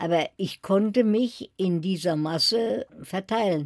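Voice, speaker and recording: A woman speaks with lively intonation. The recording is very clean with a silent background, and the sound is dry and close with no echo. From Germany, Berlin. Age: 80s+. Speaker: Holocaust survivor, author. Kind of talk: radio interview.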